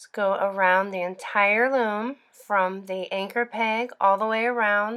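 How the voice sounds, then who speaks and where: The voice has a bright, sharp tone and a monotone, flat intonation, with big swings in loudness. It moves at a fairly slow pace with hardly any pauses, on a very clean recording with a silent background. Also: woman, medium pitch for a woman. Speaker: knitting tutorial maker. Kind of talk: tutorial.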